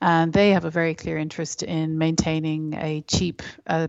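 A woman speaks at a fairly slow pace with an Irish accent. Her pitch sits fairly low. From Ireland. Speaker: environmental campaigner. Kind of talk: interview.

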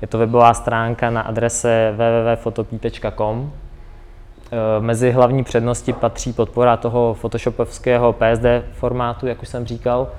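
This man talks at a moderate pace. His intonation is flat and monotone. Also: medium pitch for a man. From Ukraine. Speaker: software developer. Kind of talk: presentation. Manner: halting, many fillers.

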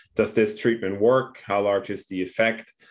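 A man with a Danish accent speaks in a fairly low pitch with ordinary pitch variation. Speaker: doctor and clinical researcher. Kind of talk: interview explaining a concept.

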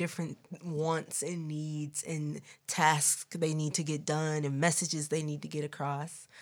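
Recorded very cleanly against a silent background, a woman with a very deep, low pitch and an American accent speaks at a moderate pace. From US Midwest, Milwaukee. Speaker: singer. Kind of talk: casual chat. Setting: studio. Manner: animated.

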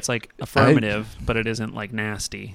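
The man speaks at a fairly low pitch. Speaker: podcast co-host. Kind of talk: informal, profane. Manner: casual, joking, rambling.

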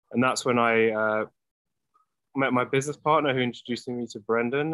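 A man with an American accent talks at a medium pitch. His pace is moderate and his intonation fairly even. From London, England. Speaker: product company representative. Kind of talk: casual chat.

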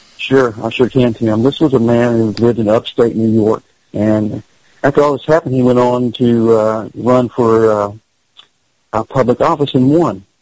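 A man with a Kentucky accent, medium in pitch, at a moderate pace with fairly even intonation. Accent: Kentucky Southern US. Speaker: paranormal investigator. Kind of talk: casual chat.

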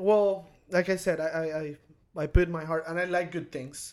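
With a Spanish accent, a man speaks at a moderate pace in a fairly high pitch. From Venezuela. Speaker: tattoo artist. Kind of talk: casual chat.

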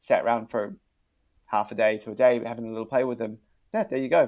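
This man talks at a fairly quick pace and a medium pitch. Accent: New Zealand. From New Zealand. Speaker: marketing agency director. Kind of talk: interview. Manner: hesitant, repeats words.

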